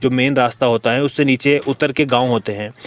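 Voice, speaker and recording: The speech moves at a moderate pace with monotone, flat intonation. Noticeable background noise runs underneath. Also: man. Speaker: horror storyteller / podcast host. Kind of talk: horror story narration in podcast style, casual storytelling. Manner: conversational, engaging, suspenseful.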